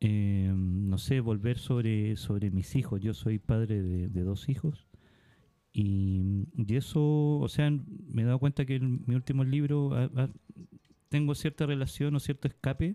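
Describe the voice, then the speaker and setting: A man's dark, mellow tone at a fairly slow pace, with lively intonation and very even loudness. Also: medium pitch for a man. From Iquique, northern Chile. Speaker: poet and writer. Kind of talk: casual chat. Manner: halting.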